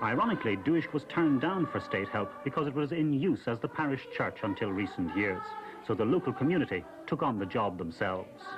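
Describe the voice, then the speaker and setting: Music plays behind a man whose fairly high voice swings very widely in pitch. He speaks at a fairly quick pace, his loudness very even. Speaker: news reporter. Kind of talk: TV news report.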